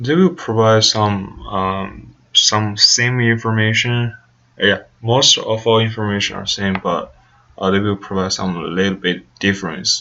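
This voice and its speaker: This man has a Chinese accent and ordinary pitch variation. Noticeable background noise runs under his speech. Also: fairly low pitch for a man, fairly slow pace. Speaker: student research participant. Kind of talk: think-aloud interview. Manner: halting, many fillers.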